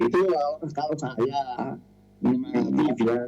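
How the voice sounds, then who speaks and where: A man's voice carries a dark, mellow tone and lively intonation. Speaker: elderly community member sharing on radio. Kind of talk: sharing on radio program.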